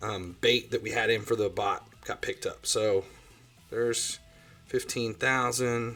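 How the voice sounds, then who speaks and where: With music in the background, a man speaks with a strong Ohio accent. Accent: self-described strong Ohio. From Ohio, US Midwest. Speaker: gaming livestreamer. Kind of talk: livestream commentary. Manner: casual, loose with fillers.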